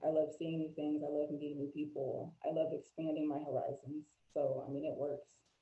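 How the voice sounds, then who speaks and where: A woman with a very deep, low pitch and an American accent, monotone and flat, at a fairly quick pace. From Florida, US. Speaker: life coach and mental health advocate. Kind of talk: interview conversation.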